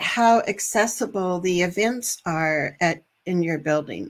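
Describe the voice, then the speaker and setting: A woman talks at a very slow pace and a medium pitch, with ordinary pitch variation. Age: 60s. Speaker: parent advocate and trainer. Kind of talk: live online training. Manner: casual, with fillers.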